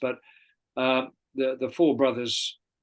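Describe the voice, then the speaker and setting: A man with an Australian accent speaks against a quiet background. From Australia, Sydney eastern suburbs. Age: 70s. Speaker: golf club volunteer and charity organiser. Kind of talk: interview.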